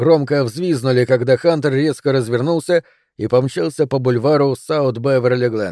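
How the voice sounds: Over a quiet background, a natural reading voice moves with ordinary pitch variation.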